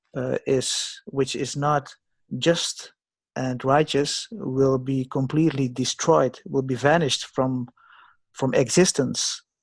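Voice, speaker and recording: A man at a medium pitch and very slow pace, with fairly even intonation and a quiet background. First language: not English. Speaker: forum participant. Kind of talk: group discussion. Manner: halting.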